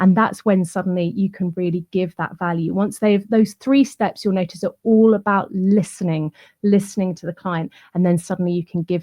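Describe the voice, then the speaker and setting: At a moderate pace and with fairly even intonation, the speaker's voice comes out somewhat breathy. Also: woman. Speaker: client relationships trainer. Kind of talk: online summit presentation.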